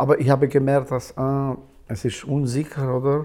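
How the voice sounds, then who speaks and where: A man with an Albanian accent. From Kosovo. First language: Albanian (speaking German). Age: 60s. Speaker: musician. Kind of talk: casual chat. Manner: halting.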